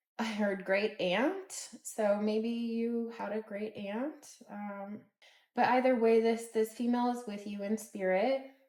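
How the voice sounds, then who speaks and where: A woman with a normal speaking voice talks at a fairly slow pace, her pitch fairly high and her intonation fairly even. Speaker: tarot reader. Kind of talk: collective tarot reading. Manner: casual with filler words.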